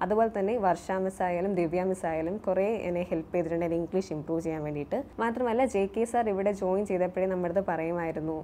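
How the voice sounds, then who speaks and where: Against light background noise, a woman speaks with ordinary pitch variation. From Kerala, Kollam district (Kottarakkara); Kerala. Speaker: successful bank exam candidate, former coaching student; candidate. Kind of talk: testimonial to camera. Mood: grateful, calm. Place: studio. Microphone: lapel.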